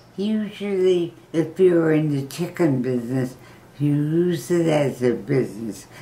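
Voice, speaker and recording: Her pitch is very deep and low for a woman. She speaks at a fairly slow pace with lively intonation. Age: 90s. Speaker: grandmother giving advice. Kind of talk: casual interview answer.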